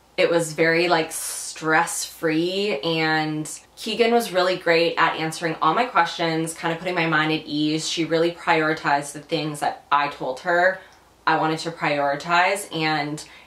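Audible room echo surrounds fairly slow speech with fairly even intonation. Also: woman, fairly low pitch for a woman. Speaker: lifestyle vlogger. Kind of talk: casual vlog chat. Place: home room.

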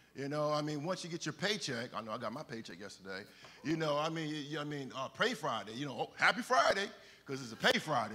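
At a fairly quick pace, a man talks with a bright, sharp tone. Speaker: preacher. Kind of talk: sermon. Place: church.

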